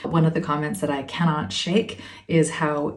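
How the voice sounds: With audible room echo, a woman talks at a moderate pace in a calm, soothing, slightly mellow tone, her low pitch showing vocal fry and little pitch movement.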